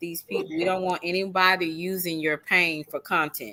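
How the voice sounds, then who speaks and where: Speaking at a fairly slow pace, a woman with a slight Texas accent talks at a medium pitch. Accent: slight country Texas. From Southeast Texas. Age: 50s. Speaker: live stream host. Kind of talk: casual chat.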